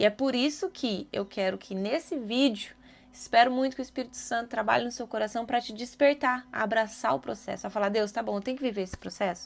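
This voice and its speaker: A woman talks at a fairly quick pace in a fairly high pitch, with ordinary pitch variation and hardly any pauses. The recording is very clean, with a silent background. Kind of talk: devotional video talk. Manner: fast; animated.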